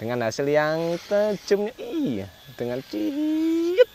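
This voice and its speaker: With very wide pitch swings, a man speaks in a dry sound with no echo over light background noise. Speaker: knife sharpener and seller. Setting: video recording of knife showcase. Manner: brisk, upbeat, salesmanlike, pushing bargain prices; casual, repeats phrases, trails off with filler and 'ya' tags. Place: garden.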